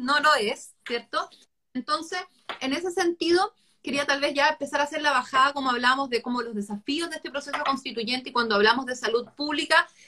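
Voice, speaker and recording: A woman speaks in a raised, projected voice at a high pitch and a fairly quick pace. Her tone is bright and sharp, with ordinary pitch variation. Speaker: talk series host. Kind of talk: live online conversation.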